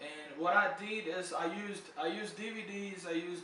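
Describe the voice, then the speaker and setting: With fairly even intonation, a man speaks through audible room echo and noticeable background noise. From Brazil. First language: Portuguese. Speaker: English tutor. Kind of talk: casual video talk. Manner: casual, hesitant with fillers.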